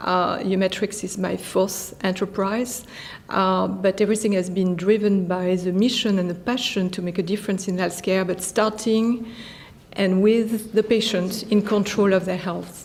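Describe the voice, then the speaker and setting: Speaking at a moderate pace, a woman with a French accent keeps her medium-pitched voice monotone and flat. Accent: French accent, still noticeable. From France. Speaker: physician and tech company founder. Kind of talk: interview. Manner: hesitant, many fillers.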